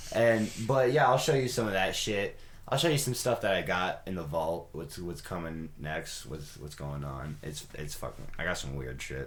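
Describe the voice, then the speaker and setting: A man's very deep, low voice at a moderate pace, with very wide pitch swings and big swings in loudness, plus audible room echo and noticeable background noise. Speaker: pop singer and music producer hosting a podcast. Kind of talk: casual chat. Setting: home studio.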